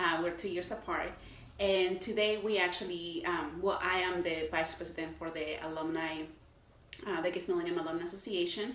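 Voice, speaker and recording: A woman speaks fairly quickly in a Mexican accent, her pitch fairly low. Noticeable background noise and audible room echo fill the recording. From Mexico City. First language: Spanish. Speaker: marketing professional and alumni leader. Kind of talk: panel interview. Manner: animated.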